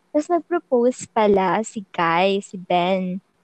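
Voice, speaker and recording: A woman's voice moves in very wide pitch swings, with a dry, close sound and no echo. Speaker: podcast co-host. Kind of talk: casual chat. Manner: sing-song.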